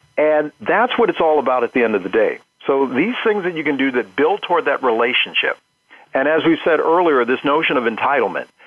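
A man with an unremarkable speaking voice talks at a fairly quick pace. His pitch is fairly high, and his intonation is lively. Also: very even loudness. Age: 50s. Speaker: marketing professor. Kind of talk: interview.

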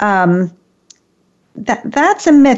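Very slowly, a woman speaks at a medium pitch. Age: 60s. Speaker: radio show host and author. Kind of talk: talk radio discussion. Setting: remote studio link.

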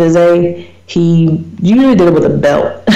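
Noticeable background noise runs under the clip. A woman speaks in a fairly low pitch. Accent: American. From US small town. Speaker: radio talk show host. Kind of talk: solo radio talk on research topic. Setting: internet radio show.

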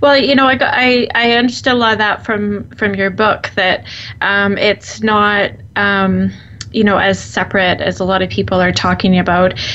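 Over noticeable background noise, the speaker keeps a moderate pace, very even loudness and fairly even intonation. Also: woman, medium pitch for a woman. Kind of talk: radio interview. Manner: casual, chatty, hesitant.

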